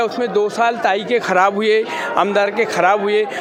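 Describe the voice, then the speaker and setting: A man amid audible room echo and noticeable background noise. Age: 60s. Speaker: political party supporter. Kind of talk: street interview.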